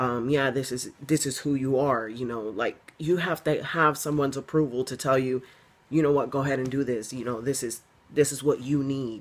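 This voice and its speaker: A man at a moderate pace, medium in pitch, with fairly even intonation. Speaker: video blogger. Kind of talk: casual chat. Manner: halting.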